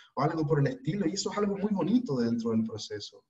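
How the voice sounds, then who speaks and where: At a fairly quick pace, a man talks with a Chilean accent. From Chile, Iquique. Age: 20s. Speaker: spiritual teacher. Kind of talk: online talk.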